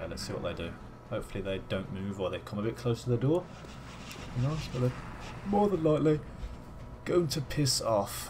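A man with a British accent, medium pitch and very wide pitch swings, at a fairly quick pace broken by long, frequent pauses. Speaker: gaming YouTuber. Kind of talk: video game commentary. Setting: home recording at PC. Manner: casual, chatty.

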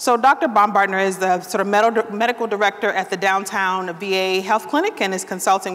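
Through noticeable background noise, a woman of medium pitch talks at a fairly quick pace with ordinary pitch variation. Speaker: panel moderator, social scientist. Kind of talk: panel moderation. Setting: stage with audience.

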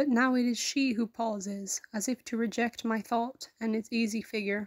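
A woman speaks slowly-ish, at a fairly slow pace, with a fairly high pitch, a somewhat breathy sound and monotone, flat intonation. The recording is very clean with a silent background, dry and close with no echo. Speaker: poetry reader. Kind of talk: poem read aloud, reflective and tender. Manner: slow, measured, wistful.

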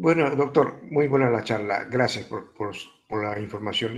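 A man at medium pitch and a moderate pace, a plain, everyday voice. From Spain (Mallorca). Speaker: audience member. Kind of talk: audience question. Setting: video call.

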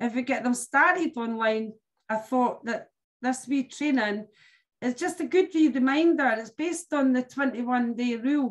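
A woman's high voice at a moderate pace against a quiet background. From UK. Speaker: sales team leader running training webinar. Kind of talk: online team meeting and training. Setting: video call. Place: home room. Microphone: video call.

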